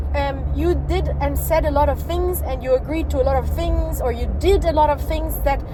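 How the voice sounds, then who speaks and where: A woman talks at a moderate pace with hardly any pauses, her voice carrying audible room echo amid noticeable background noise. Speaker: podcaster sharing personal advice. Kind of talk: casual monologue. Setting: not at home, noisy place. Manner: loud; animated.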